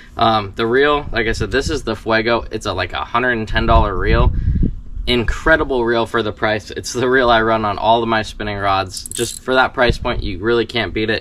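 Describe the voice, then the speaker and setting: Over light background noise, the speech moves at a moderate pace with fairly even intonation. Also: man. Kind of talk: tutorial. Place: garden. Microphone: camera far.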